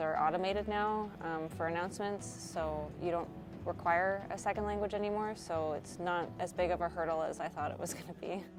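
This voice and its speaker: Music plays in the background as the speaker talks at a fairly quick pace with ordinary pitch variation. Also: woman, hardly any pauses. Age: 30s. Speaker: student newspaper editor and flight attendant. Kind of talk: interview monologue. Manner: casual with frequent filler ums.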